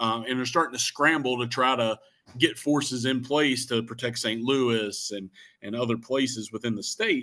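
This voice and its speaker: Against a quiet background, a man talks in a Shenandoah Valley accent. His tone is bright and sharp, with a medium pitch and moderate pace. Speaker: Civil War historian. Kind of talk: history talk. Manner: many fillers (uh, um).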